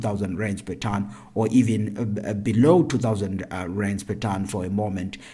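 Here a man talks at a moderate pace with a fairly low pitch. His voice is somewhat breathy. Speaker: agricultural economist podcast host. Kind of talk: solo commentary.

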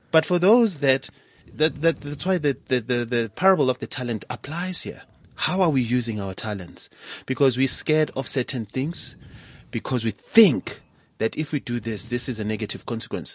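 A man with an ordinary speaking voice at medium pitch, lively intonation and a moderate pace, over a quiet background with a dry, close sound and no echo. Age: young. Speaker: entrepreneur. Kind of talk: interview. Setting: studio.

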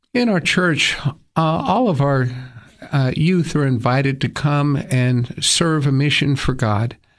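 At fairly high pitch and a fairly slow pace, a man with an American accent speaks with ordinary pitch variation and very even loudness. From East Tennessee, US South. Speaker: attorney and church leader. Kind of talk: radio interview. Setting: studio.

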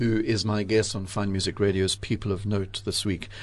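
At a moderate pace, a man talks in a plain, everyday voice with a fairly low pitch. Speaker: radio host. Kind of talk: radio interview. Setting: studio.

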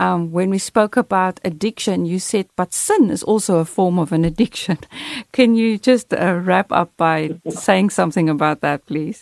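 A woman in an unremarkable speaking voice talks at medium pitch and moderate pace with ordinary pitch variation, in a dry, close sound with no echo and a quiet background. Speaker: radio co-host and former missionary. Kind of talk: radio interview.

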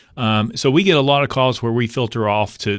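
A man with an East Tennessee accent speaks with fairly even intonation over a quiet background. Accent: East Tennessee Southern US. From East Tennessee (Knoxville). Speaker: state politician. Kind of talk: radio interview.

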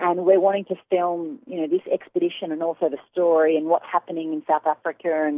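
A woman with an unremarkable speaking voice and fairly low pitch talks at a fairly quick pace. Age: 20s. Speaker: long-distance runner and charity founder. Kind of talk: interview. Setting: phone call.

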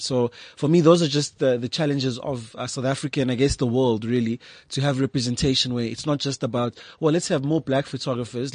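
Here is a man with an ordinary speaking voice at a medium pitch, talking at a fairly quick pace with fairly even intonation. The sound is dry and close with no echo, over a quiet background. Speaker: photographer and visual artist. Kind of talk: casual interview chat. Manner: articulate, measured.

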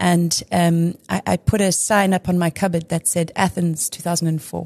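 The voice has a dark, mellow tone and is somewhat breathy, moving at a moderate pace, with a dry, close sound with no echo and a quiet background. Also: woman. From South Africa, Durban. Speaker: former national hockey player and sports brand executive. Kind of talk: casual interview.

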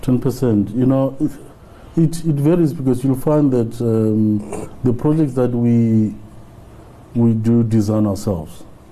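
A man with a dark, mellow tone and medium pitch talks at a fairly slow pace with long, frequent pauses, ordinary pitch variation and very even loudness. Audible room echo surrounds his voice. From South Africa, Limpopo rural village. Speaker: business owner. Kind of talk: interview. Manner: halting.

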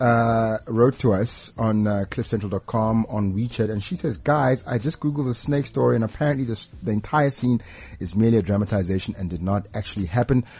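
A man talks at a fairly quick pace with a dark, mellow tone and medium pitch. His voice is somewhat breathy. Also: ordinary pitch variation. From South Africa. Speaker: radio host. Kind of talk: casual banter, radio show. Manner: animated, jokey.

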